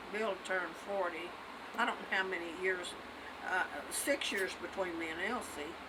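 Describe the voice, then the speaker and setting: A woman's voice is heard with audible room echo and noticeable background noise. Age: 80s+. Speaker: elderly mother telling a personal story. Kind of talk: casual family chat. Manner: halting.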